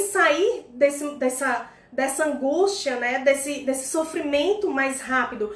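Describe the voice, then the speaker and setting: Lively intonation comes through at a fairly slow pace amid audible room echo. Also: woman. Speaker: personal development coach. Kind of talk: instagram live talk. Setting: live stream.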